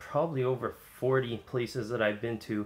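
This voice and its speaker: The man's voice sits at a medium pitch, and his intonation stays fairly even. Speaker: vlogger. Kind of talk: casual talk to camera. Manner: hesitant, many fillers.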